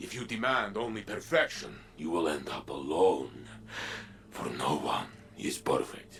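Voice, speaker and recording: Against clear background noise, a man uses a put-on character voice at a fairly low pitch and a moderate pace. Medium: video game. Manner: emphatic, earnest.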